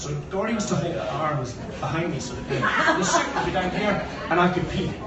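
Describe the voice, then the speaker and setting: A man's high-pitched voice at a fairly quick pace over noticeable background noise. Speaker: best man. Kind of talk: wedding speech. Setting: wedding reception, phone recording. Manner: casual, joking, hesitant.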